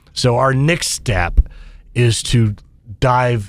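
This man talks with an American accent. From Kansas (Wichita). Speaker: business association head. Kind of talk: interview.

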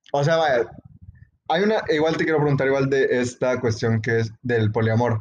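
A man at medium pitch speaks at a moderate pace in an unremarkable speaking voice, his pitch varying in an ordinary way. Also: very even loudness. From El Salvador. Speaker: podcast co-host. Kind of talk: casual chat.

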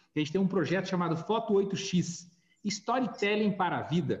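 A man's high-pitched voice at a fairly quick pace, with ordinary pitch variation. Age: 40s. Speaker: podcast host, graduation photography businessman. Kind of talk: casual chat.

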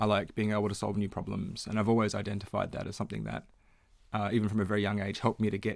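A man with an Australian accent, fairly low pitch, and a very fast pace. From Western Australia, Perth. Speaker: economics consultant. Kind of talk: interview.

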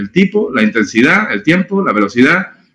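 The speaker is a man who talks at a moderate pace. His pitch swings very widely. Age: 40s. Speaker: innovation and strategy consultant. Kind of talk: interview.

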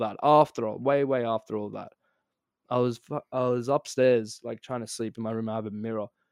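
In a very clean recording with a silent background, a man with an Australian accent speaks at a medium pitch. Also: dry, close sound with no echo. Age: 20s. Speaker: podcast guest. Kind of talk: casual chat. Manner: very fast; animated.

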